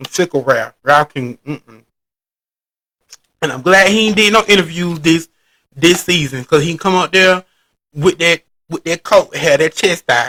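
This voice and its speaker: A man's fairly high, bright and sharp voice at a fairly slow pace, with ordinary pitch variation and a dry, close sound with no echo. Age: 30s. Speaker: pop culture commentator. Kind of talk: casual recap commentary. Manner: halting, stumbling over words.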